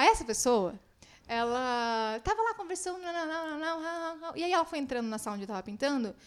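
Her pitch is high, and this woman's moderate-paced speech has very wide pitch swings and big swings in loudness. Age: 20s. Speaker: muralist and content creator. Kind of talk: casual chat. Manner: talkative.

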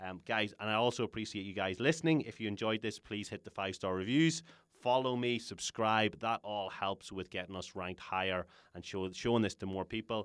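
A man with an Irish accent talks at a fairly quick pace in a fairly low voice, his pitch rising and falling in an ordinary way. The recording is very clean and dry, close-miked with no echo over a silent background. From Ireland. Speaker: podcast host, health coach. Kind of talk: casual interview; podcast outro. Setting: studio.

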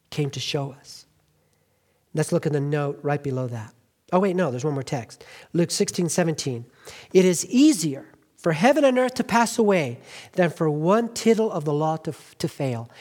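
The speaker has an American accent and a fairly slow pace. Long pauses come frequently. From Southern California. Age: 50s. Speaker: pastor. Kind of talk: sermon. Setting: church. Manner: halting.

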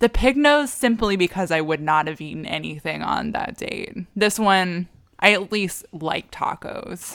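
A normal speaking voice with lively intonation at a fairly slow pace. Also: woman, medium pitch for a woman. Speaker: podcast host. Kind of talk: casual chat.

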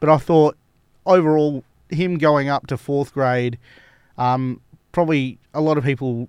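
Over a quiet background, a man with an Australian accent speaks with ordinary pitch variation. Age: 20s. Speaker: cricket club podcast host. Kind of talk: casual chat.

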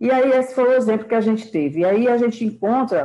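A woman's voice, dark and mellow in tone, moves with ordinary pitch variation. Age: 50s. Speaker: group participant, caregiver.

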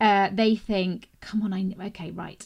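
A woman with an English accent talks at a moderate pace and medium pitch on a very clean recording with a silent background. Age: 40s. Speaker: podcast host, journalist. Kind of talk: interview; scripted introduction. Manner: animated.

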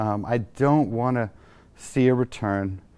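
Recorded very cleanly against a silent background, a man with an American accent and an unremarkable speaking voice talks at medium pitch with ordinary pitch variation. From Texas. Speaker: architect. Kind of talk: interview. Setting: showroom studio.

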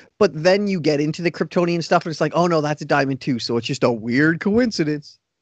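Against a quiet background, a man talks at a very fast pace in an animated tone with a fairly high pitch. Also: ordinary pitch variation. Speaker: podcast host. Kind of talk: casual chat.

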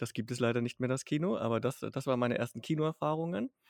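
Recorded very cleanly against a silent background, with a dry, close sound and no echo, a man uses an ordinary speaking voice at a medium pitch with ordinary pitch variation. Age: middle-aged. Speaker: podcast co-host. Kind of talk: casual chat.

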